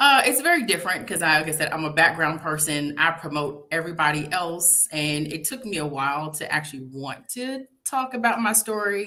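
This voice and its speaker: With a Tidewater Virginia accent, the speaker talks at a fairly quick pace with hardly any pauses and lively intonation over noticeable background noise. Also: woman, fairly low pitch for a woman. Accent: Norfolk Virginia dialect, Southern. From Norfolk, Virginia. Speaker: public relations professional, divorce story author. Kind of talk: interview.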